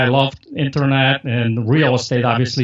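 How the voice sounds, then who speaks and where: A man with a Polish accent talks at a moderate pace in a medium pitch. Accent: Polish accent, noticeable. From Poland. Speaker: marketer and podcast host. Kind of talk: interview. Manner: casual, filler-heavy.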